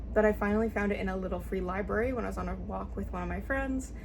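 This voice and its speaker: The woman talks at a very fast pace. Her voice carries audible room echo. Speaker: book reviewer. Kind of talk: casual book review vlog. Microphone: poor audio quality.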